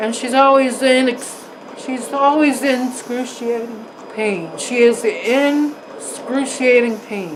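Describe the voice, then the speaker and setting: A woman's high-pitched voice at a very slow pace, with ordinary pitch variation and noticeable background noise. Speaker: vlogger reacting to videos. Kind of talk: reaction commentary. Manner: animated, sarcastic.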